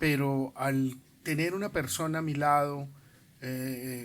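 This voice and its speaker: A man with a fairly high pitch. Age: 60s. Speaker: school principal. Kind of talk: interview.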